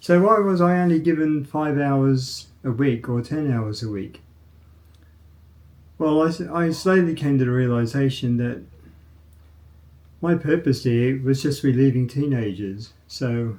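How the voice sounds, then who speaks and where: A man with an Australian accent and a fairly high pitch, ordinary pitch variation, a fairly slow pace and long, frequent pauses. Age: 60s. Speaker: vlogger, former programmer. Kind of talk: casual monologue. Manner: halting, with fillers.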